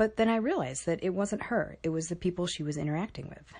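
Somewhat breathy, a woman with an American accent talks at a fairly quick pace with lively intonation. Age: 30s. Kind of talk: personal digital story narration.

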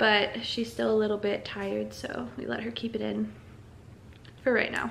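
Some light noise sits in the background while the words come at a moderate pace. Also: woman. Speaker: mom vlogger. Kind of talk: casual vlog chat. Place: kitchen. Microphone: phone near.

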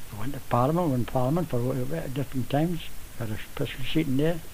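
Speaking at a very fast pace, a man with a medium pitch and ordinary pitch variation is heard over noticeable background noise. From northeast England. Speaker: Jarrow march veteran. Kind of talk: elder life story, recalled in a relaxed reminiscing way, interview. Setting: radio interview.

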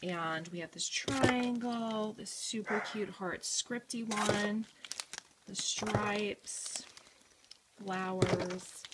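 A woman speaks at a very slow pace in a medium-pitched, fairly bright voice with a slightly husky edge. Her pitch varies in an ordinary way.

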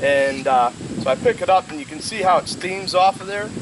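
Noticeable background noise runs behind a man speaking at a moderate pace. The sound is dry, with no echo. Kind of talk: tutorial. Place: garden. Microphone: camera far.

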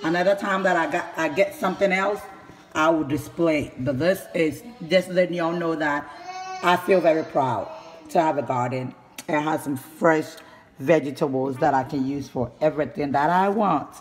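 A man speaks at a moderate pace with ordinary pitch variation over light background noise. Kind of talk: casual vlog chat. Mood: proud, enthusiastic. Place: kitchen. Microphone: phone near.

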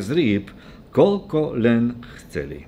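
A man talks with a dark, mellow tone. Light background noise sits behind him. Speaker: preacher. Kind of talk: scripture reading in a sermon. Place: church. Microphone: podium.

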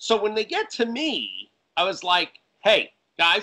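In an American accent, a man uses a raised, projected voice with high pitch and a bright, sharp tone, speaking at a fairly slow pace against a quiet background. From Connecticut, US Northeast. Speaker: film director and writer; guest. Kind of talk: casual interview. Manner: animated. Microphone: video call.

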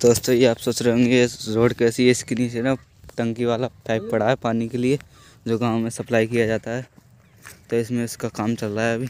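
A man's monotone, flat delivery at a moderate pace, in a dry sound with no echo. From Uttar Pradesh, India. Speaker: village vlogger. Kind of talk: casual vlog talk to camera. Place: open country. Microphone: phone near.

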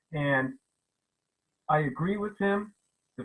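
This man has a bright, sharp tone. His pace is fairly slow. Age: 70s. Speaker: retired plant pathologist, town hall participant. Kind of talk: public comment at virtual town hall. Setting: video call. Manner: halting, many repetitions.

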